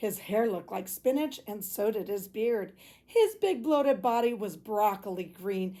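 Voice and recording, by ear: Words are read aloud here. The reading voice sounds natural.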